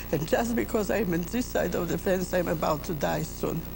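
Against noticeable background noise, a woman speaks at a moderate pace. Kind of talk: interview testimony. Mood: grave, emotional recollection. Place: church.

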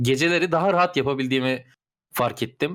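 Lively intonation marks this man's unremarkable speaking voice at a moderate pace. The recording is very clean, with a silent background. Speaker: gamer friend. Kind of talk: casual chat, party game.

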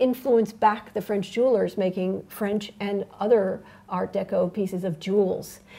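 The clip consists of plain reading aloud.

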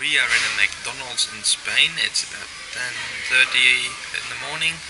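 A man keeps a moderate pace while loud background noise carries on around him. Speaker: traveller vlogger. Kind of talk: casual vlog chat. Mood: cheerful, amused. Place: cafe. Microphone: phone near.

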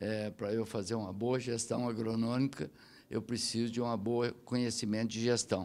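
A man speaks at a medium pitch and a moderate pace. His intonation stays monotone and flat. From Brazil. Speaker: business support agency head. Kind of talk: interview. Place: hall. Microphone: handheld.

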